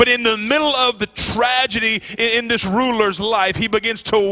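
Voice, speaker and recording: With noticeable background noise behind him, a man talks fairly slowly in a raised, projected voice, his tone warm and animated and his pitch extremely high. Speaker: visiting preacher. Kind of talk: sermon. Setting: church. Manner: animated, call-and-response, urging the congregation to shout amen; warm, fervent, building in intensity.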